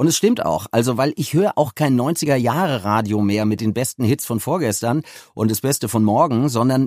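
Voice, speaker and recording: Recorded very cleanly, dry and close with no echo over a silent background, a man talks at a moderate pace in a medium pitch with lively intonation. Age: 50s. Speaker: audiobook producer. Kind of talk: interview. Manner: halting, many fillers.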